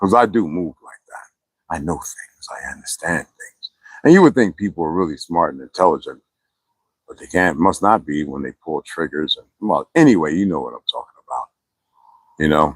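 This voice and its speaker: A man speaks in a relaxed tone at a moderate pace, with big swings in loudness. The sound is dry and close, with no echo. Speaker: livestreamer. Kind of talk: casual chat. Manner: low-pitched, relaxed.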